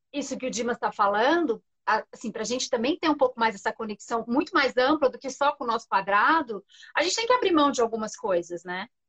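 The speech moves at a fairly quick pace with lively intonation, and the sound is dry and close with no echo. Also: woman, high pitch for a woman. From interior of São Paulo state (Franca). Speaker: journalist. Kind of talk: casual chat.

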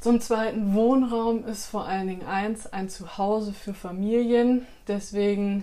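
Her voice sits at a medium pitch for a woman, with monotone, flat intonation. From Bielefeld, Germany. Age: 20s. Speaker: parliamentary candidate. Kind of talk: interview answers on party platform. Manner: formal.

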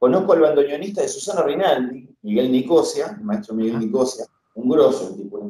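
With a Rioplatense accent, a man talks at a very fast pace in a fairly high pitch, his pitch swinging very widely. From Argentina, Castelar, Buenos Aires province. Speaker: guitarist. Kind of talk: interview.

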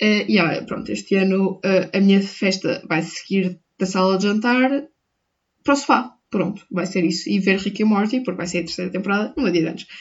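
Somewhat breathy speech with a European Portuguese accent moves at a moderate pace with ordinary pitch variation. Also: woman, medium pitch for a woman. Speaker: podcaster. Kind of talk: casual monologue. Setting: at home. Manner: animated.

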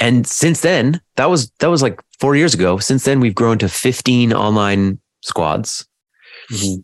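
In a normal speaking voice at medium pitch, a man talks at a fairly slow pace with lively intonation and very even loudness. The sound is dry and close, with no echo. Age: 30s. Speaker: men's coach and addiction counsellor. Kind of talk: casual chat.

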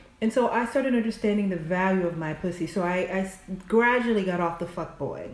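Speaking at a moderate pace, a woman with a Southern US accent uses a medium pitch and ordinary pitch variation. Audible room echo and noticeable background noise are present. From US South. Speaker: podcast guest. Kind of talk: casual chat.

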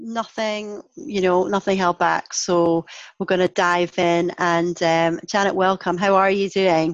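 Over a quiet background, a woman with a Scottish accent and a medium pitch speaks at a fairly slow pace with very even loudness. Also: fairly even intonation. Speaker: podcast host. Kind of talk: podcast interview.

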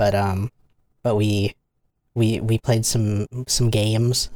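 A man speaks in a normal speaking voice at medium pitch with fairly even intonation. The sound is dry and close with no echo. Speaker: podcast host. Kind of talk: casual chat.

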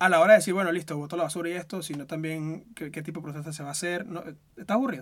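Very fast and high-pitched, a man talks with big swings in loudness. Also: ordinary pitch variation. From Venezuela. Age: 20s. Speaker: podcast host. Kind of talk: casual chat.

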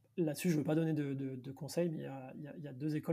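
A man's fairly high, somewhat breathy voice with a dark, mellow tone, fairly even intonation and a fairly quick pace. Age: 30s. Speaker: entrepreneur and financial director. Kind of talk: podcast interview.

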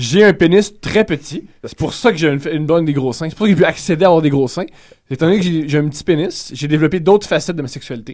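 A man rattles along at a very fast pace, his fairly high voice showing ordinary pitch variation. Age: 20s. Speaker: comedian. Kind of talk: casual chat.

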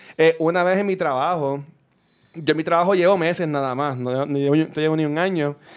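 Fairly high-pitched, this man has an unremarkable speaking voice. His intonation stays fairly even as he talks at a fairly quick pace. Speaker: podcaster. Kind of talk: casual chat.

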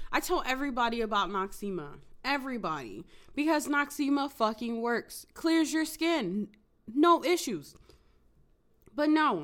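Heard on a very clean recording with a silent background, a high-pitched woman speaks at a moderate pace, her pitch swinging very widely, with long, frequent pauses. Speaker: podcast host. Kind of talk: casual solo monologue. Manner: hesitant, many fillers.

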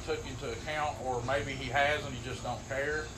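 Speech moves at a moderate pace with fairly even intonation. Background noise is noticeable, and room echo can be heard. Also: man. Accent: Appalachian. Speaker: sports podcast co-host. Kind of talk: casual chat.

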